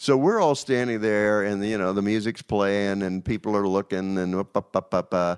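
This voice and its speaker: A man with an ordinary speaking voice, fairly low in pitch, talks at a moderate pace with fairly even intonation and hardly any pauses in a very clean recording with a silent background. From Virginia. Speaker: record label executive. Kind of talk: interview.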